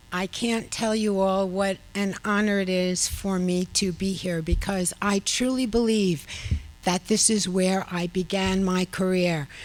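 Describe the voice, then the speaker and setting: In a New York accent, a woman speaks at a medium pitch with fairly even intonation and a fairly slow pace. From Long Island, New York. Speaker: research professor, award recipient. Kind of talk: acceptance speech. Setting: awards luncheon.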